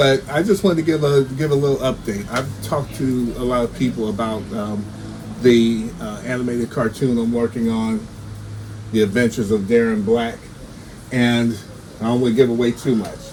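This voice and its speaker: Over noticeable background noise, a man with a medium-pitched voice talks at a moderate pace with fairly even intonation. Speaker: writer and cartoonist. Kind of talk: casual video update. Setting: home recording, no soundproof studio. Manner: stammering; halting, many fillers and repeats.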